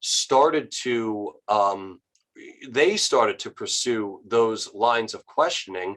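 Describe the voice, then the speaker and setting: With an American accent, a man speaks at a very slow pace, and his loudness swings widely. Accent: New York accent, slight, comes out at times. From New York. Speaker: author and historian. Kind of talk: interview discussion. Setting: online video call.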